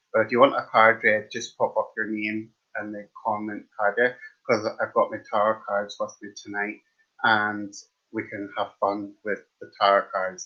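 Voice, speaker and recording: With an Irish accent, a man speaks at a fairly slow pace. His loudness swings widely. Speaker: tarot card reader. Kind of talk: live stream tarot reading. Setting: live stream. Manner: casual, chatty.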